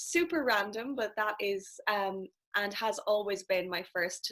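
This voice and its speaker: With a strong Irish accent, a woman speaks at a very slow pace. Her voice is medium in pitch, with ordinary pitch variation. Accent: thick Irish. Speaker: life and business coach. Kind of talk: casual interview chat.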